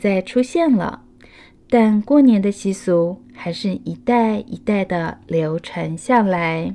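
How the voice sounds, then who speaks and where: Speaking very slowly with a Taiwanese accent, a woman uses a dark, mellow tone at a medium pitch and lively intonation. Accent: Taiwanese Mandarin. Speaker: children's storyteller. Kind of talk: children's picture book read-aloud.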